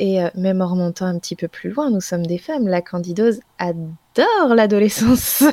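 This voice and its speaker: An ordinary speaking voice from a woman, medium in pitch with ordinary pitch variation, at a moderate pace with hardly any pauses, in a dry, close sound with no echo. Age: 20s. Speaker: naturopath. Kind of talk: casual chat.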